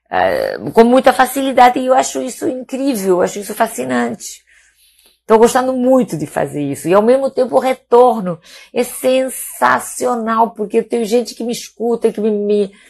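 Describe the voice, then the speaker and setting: A woman speaks at a moderate pace with lively intonation and a fairly high pitch, over a quiet background. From Spain, Palma de Mallorca (Balearic Islands). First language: Catalan and Spanish (speaking Portuguese). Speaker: doctor. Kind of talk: casual live stream talk. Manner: hesitant, many repetitions.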